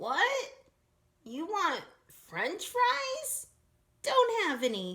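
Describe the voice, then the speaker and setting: A woman's put-on character voice at an extremely high pitch, with very wide pitch swings, a very slow pace and long, frequent pauses. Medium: read story. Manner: sleepy, mishearing.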